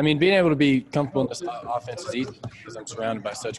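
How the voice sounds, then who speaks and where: Against noticeable background noise, a man talks at a very fast pace with ordinary pitch variation. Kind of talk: interview answer. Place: hall.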